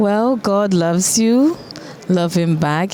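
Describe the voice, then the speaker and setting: With a Ghanaian accent, a woman speaks at a very slow pace and with lively intonation. Noticeable background noise runs underneath. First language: Twi. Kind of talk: interview.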